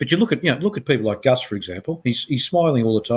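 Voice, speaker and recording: Somewhat breathy and medium in pitch, a man talks at a very fast pace. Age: 70s. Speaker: business leader, company chair. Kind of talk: interview. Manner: animated; halting.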